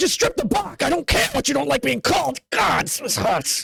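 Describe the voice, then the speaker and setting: A man in a put-on character voice at an extremely high pitch. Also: moderate pace. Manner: gruff, irritated, dismissive.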